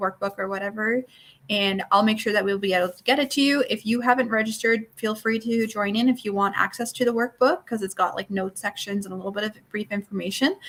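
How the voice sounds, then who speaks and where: Keeping a fairly even intonation, a woman at a medium pitch speaks at a very fast pace. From Newfoundland, Canada. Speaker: network marketing coach. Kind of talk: online workshop lecture. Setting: live stream.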